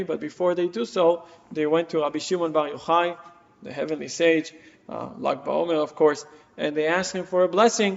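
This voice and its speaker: Amid noticeable background noise, a man with an Israeli accent speaks at a fairly high pitch with ordinary pitch variation. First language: Hebrew. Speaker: rabbi. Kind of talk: lecture.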